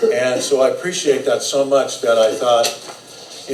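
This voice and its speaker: This man talks at a fairly quick pace with an American accent. There is noticeable background noise and audible room echo. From US West Coast (Los Angeles area). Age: 60s. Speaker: hairdresser and platform artist. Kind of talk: live talk to students at a haircutting demo. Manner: casual, conversational with fillers.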